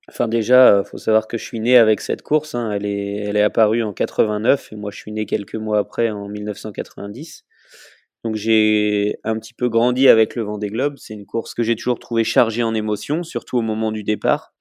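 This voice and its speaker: A man with a plain, everyday voice speaks at a moderate pace in a fairly low pitch, keeping his intonation fairly even. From France, Vendée. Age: 30s. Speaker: professional sailor. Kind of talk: interview.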